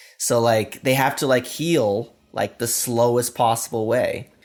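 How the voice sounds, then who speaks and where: A man with an American accent speaks in an unremarkable speaking voice at a moderate pace and medium pitch, in a very clean recording with a silent background. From US Pacific Northwest, Washington State. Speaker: software developer advocate. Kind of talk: casual chat.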